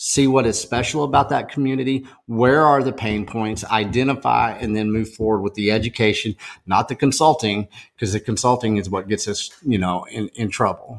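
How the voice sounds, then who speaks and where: A man with a Texan accent, medium pitch, ordinary pitch variation and moderate pace. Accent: Texan American. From Texas, small town. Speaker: food activist, organization founder. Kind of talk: podcast interview. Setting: in-person, at a farm table. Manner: animated.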